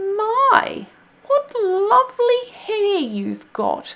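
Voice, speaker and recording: A woman does a put-on character voice, squeaky and extremely high-pitched. She speaks at a very slow pace with very wide pitch swings. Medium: read story. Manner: sweet.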